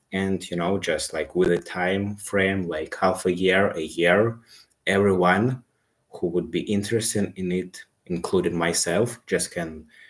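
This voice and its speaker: A man with a non-native accent speaks in a very deep, low voice at a fairly slow pace. His intonation is fairly even, and the recording is very clean with a silent background. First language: not English. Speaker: self-improvement live streamer. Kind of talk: casual live stream monologue. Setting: live stream. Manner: halting.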